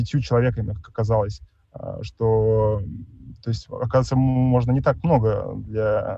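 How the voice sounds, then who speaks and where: This man has a medium pitch and a dark, mellow tone, sounding somewhat breathy as he talks at a fairly slow pace with ordinary pitch variation. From Tomsk, Siberia, Russia. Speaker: architect, small firm head. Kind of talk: online panel lecture. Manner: hesitant, many fillers.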